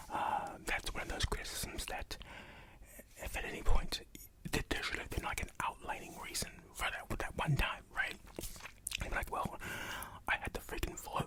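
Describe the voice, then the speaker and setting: Whispering over noticeable background noise, a man speaks. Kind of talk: ASMR reddit reading with reactions. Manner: whispered; soft-spoken.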